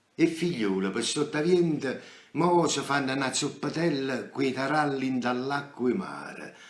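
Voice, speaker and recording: Fairly high pitch from a man, ordinary pitch variation, fairly slow pace. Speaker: stage actor. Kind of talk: poetry reading. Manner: theatrical, emotional; nostalgic, melancholic.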